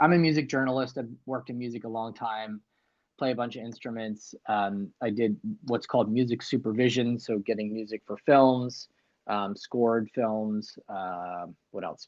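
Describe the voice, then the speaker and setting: A man speaks with a General American accent in a normal speaking voice at medium pitch. His pace is moderate and his intonation fairly even. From US East Coast, Northern Virginia. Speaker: livestream host, music journalist. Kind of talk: casual livestream chat. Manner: casual, many fillers.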